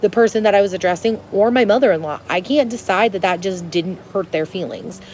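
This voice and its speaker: The speaker is a woman with a medium pitch. Her pitch variation is ordinary. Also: fairly quick pace. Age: 20s. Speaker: lifestyle vlogger. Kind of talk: casual advice monologue. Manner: loud.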